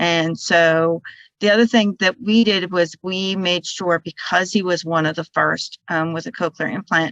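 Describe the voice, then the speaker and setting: A woman speaks at a fairly low pitch with fairly even intonation. The sound is dry and close with no echo, over a quiet background. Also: fairly slow pace. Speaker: parent of a student with hearing loss. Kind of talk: panel discussion. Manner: soft-spoken.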